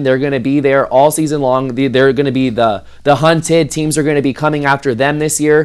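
With an American accent and a normal speaking voice, a man talks at a fairly quick pace and fairly high pitch. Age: 20s. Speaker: sports writer. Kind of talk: casual chat. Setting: podcast interview.

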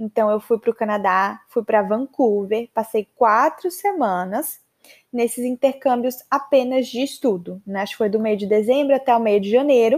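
Speaking at a moderate pace in a plain, everyday voice, a woman with a fairly high pitch and ordinary pitch variation sounds dry and close, with no echo. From Maceió, northeastern Brazil. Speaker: podcast host, English teacher. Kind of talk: personal storytelling monologue. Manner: casual, chatty.

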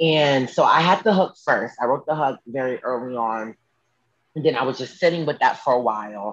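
At a moderate pace, a man talks at a medium pitch with ordinary pitch variation in an ordinary speaking voice. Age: 20s. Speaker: singer. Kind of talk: casual chat. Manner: casual, with many fillers.

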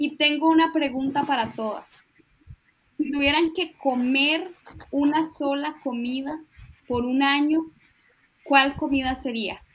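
Speaking with a Costa Rican accent, a woman uses a high pitch and fairly even intonation. She talks very slowly, with long, frequent pauses. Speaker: podcast co-host. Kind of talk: casual chat.

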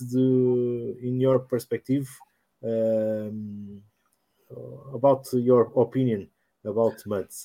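In a Portuguese accent, a man with a dark, mellow tone and medium pitch talks at a very slow pace with fairly even intonation. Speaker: podcast host. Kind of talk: live stream presenting.

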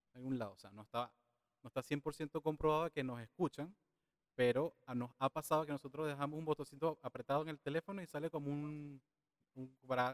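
A man with an unremarkable speaking voice talks at a fairly quick pace in a fairly high pitch, with fairly even intonation. His loudness swings widely, and the sound is dry and close with no echo. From Venezuela. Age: 30s. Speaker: digital marketing specialist. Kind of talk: casual interview.

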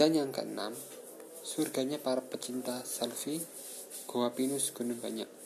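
With noticeable background noise behind him, a man speaks fairly slowly in a medium-pitched, flat monotone, leaving long, frequent pauses. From Malang, East Java, Indonesia. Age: 20s. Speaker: podcaster. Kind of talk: travel review reading. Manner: halting.

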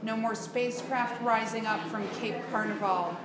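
A woman with a fairly high voice speaks at a fairly slow pace, with audible room echo and noticeable background noise. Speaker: open mic reader. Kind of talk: reading aloud. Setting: cafe with audience.

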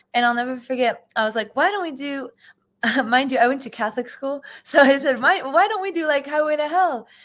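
Fairly quick and high-pitched, a woman talks with an American accent and ordinary pitch variation. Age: 20s. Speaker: bassist and singer. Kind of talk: casual interview.

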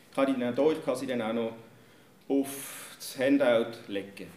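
Talking very slowly with fairly even intonation, a man is heard over noticeable background noise and audible room echo. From Germany. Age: 50s. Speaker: church leader and pastoral worker. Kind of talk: talk to an audience.

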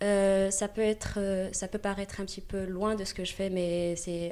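At a fairly slow pace, a woman talks in a dark, mellow tone. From Morocco. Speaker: gymnastics teacher. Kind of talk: interview. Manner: halting.

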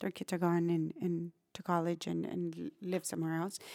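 Speaking with a South Texas accent, a woman takes a fairly slow pace. The recording is very clean with a silent background, in a dry, close sound with no echo. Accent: South Texas Mexican-American English. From Brownsville, Texas (US-Mexico border). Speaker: nonprofit executive director. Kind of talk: interview.

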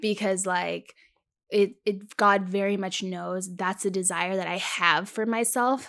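A woman talks at a fairly slow pace in a plain, everyday voice. Her pitch is medium and her intonation fairly even. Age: 20s. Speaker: podcast co-host. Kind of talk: casual chat.

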